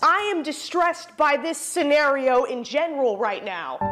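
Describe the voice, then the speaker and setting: High pitch from a woman speaking. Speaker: cooking video host. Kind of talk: comedic cooking tutorial chat. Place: kitchen. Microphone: lapel.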